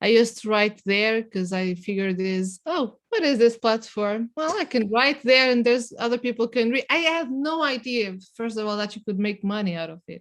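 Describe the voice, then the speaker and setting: With a non-native accent, the speaker uses lively intonation at a moderate pace. There are hardly any pauses. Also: woman, fairly high pitch for a woman. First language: not English. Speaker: writer. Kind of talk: casual chat. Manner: halting.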